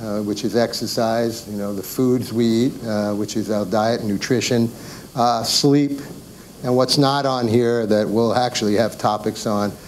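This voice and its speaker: Medium-pitched male speech in a New York accent, with fairly even intonation and noticeable background noise. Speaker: doctor giving a health talk. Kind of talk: educational presentation. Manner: halting, many fillers.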